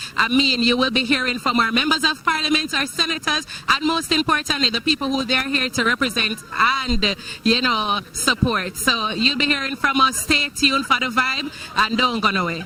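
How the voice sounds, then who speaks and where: An energetic woman's voice at high pitch, moderate pace and ordinary pitch variation, with noticeable background noise. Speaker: TV presenter. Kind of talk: live outdoor broadcast commentary. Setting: outdoors at a live street event.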